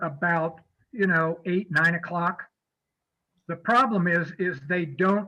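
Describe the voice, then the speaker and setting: This man speaks at a fairly slow pace with an American accent, a high pitch and a bright, sharp tone. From US Midwest (Kansas). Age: 70s. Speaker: fishing guide presenter. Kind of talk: presentation with Q&A. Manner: casual, hesitant with fillers.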